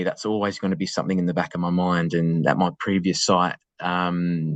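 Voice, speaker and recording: The voice belongs to a man. He speaks in an Australian accent. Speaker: school assistant principal. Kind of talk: webinar interview. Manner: halting.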